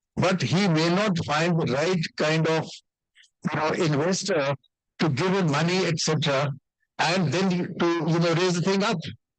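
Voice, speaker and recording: A man with a high pitch, fairly even intonation and very even loudness, at a moderate pace with long, frequent pauses and audible room echo. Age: 70s. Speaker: doctor and entrepreneur. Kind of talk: stage interview.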